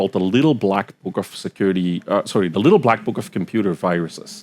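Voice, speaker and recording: The man's pitch is fairly low, with ordinary variation. He talks at a fairly quick pace in a dry, close sound with no echo. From Belgium. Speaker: cybersecurity expert. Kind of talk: podcast interview. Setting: live festival recording. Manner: hesitant fillers.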